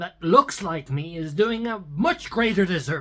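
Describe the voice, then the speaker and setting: A man's high, bright, sharp voice at a fairly slow pace. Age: 30s. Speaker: musician vlogger. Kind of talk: casual monologue. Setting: at the piano, on camera. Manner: rambling, animated.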